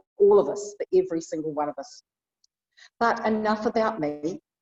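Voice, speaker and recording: A woman with a New Zealand accent, dry and close with no echo. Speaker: bishop. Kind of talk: sermon. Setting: church.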